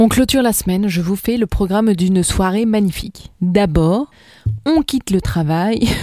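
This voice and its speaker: At a moderate pace, a woman speaks at a medium pitch with ordinary pitch variation. The sound is dry and close, with no echo. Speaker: radio host. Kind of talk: radio events segment. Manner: put-on sensual voice.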